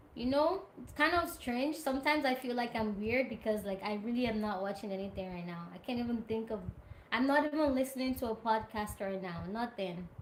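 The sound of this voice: Speaking at a fairly quick pace, a woman uses a fairly high pitch and ordinary pitch variation, with audible room echo.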